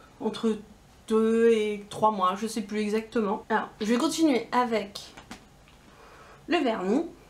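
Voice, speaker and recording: A very slow delivery with ordinary pitch variation, long, frequent pauses and noticeable background noise. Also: woman, fairly high pitch for a woman. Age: 20s. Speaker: beauty YouTuber. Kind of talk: casual talk to camera.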